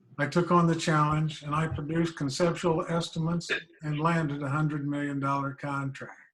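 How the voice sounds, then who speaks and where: The voice carries a Midwestern US accent and a monotone, flat intonation. Its pace is moderate. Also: man. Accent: US Midwest. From Kansas, El Dorado. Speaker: local election candidate. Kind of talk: candidate forum speech.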